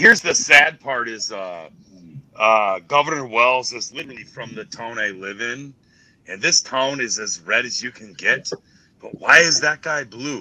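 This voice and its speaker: A man with a Minnesotan accent, a bright, sharp tone and ordinary pitch variation, against a quiet background. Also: medium pitch for a man, moderate pace, big swings in loudness. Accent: Minnesota. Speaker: livestream viewer joining call. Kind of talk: casual chat.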